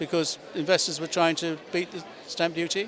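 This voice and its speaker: A man talks at a high pitch with noticeable background noise around him. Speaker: auctioneer and chairman of a property auction house. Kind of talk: interview answer.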